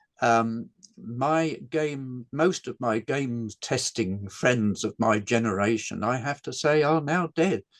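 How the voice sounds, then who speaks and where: In an English accent, a man with a medium pitch talks at a very slow pace with ordinary pitch variation, the sound dry and close with no echo. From England. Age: 80s+. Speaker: game designer. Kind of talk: interview. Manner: halting.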